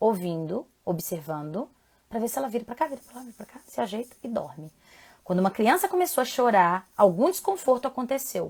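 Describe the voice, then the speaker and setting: Talking at a fairly quick pace, a woman uses a fairly high voice with very wide pitch swings and big swings in loudness. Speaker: parenting educator and live host. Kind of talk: live stream talk. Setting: live stream from home. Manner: fast.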